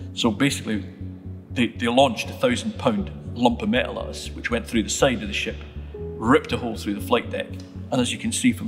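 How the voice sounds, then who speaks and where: A man speaks at a fairly quick pace with a fairly low pitch. Clear music plays in the background. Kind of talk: interview answer. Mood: calm, reflective storytelling. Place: church.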